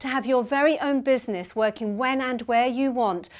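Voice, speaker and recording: A high-pitched woman's voice over a quiet background. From UK. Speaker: business coach. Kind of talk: motivational marketing talk to camera. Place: home room.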